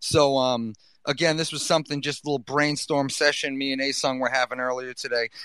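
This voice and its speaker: With a Boston accent, this man speaks in a bright, sharp tone at a fairly high pitch. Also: fairly quick pace. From US Northeast, Boston. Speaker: podcast host. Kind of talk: casual chat. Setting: gaming headset. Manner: animated.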